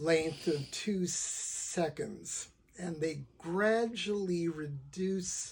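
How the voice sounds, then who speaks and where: The voice has a dark, mellow tone. Its pitch varies an ordinary amount. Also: man. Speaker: lawyer who stutters, talking about stuttering. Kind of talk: casual talk to camera. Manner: stutters, with repetitions and fillers; deliberately slow speech.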